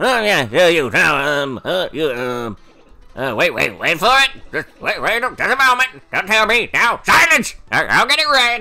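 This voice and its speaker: A man in a put-on character voice uses an extremely high pitch with very wide swings, a raised, projected delivery, a fairly slow pace and long, frequent pauses, while faint music plays in the background. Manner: forgetful, trying to remember.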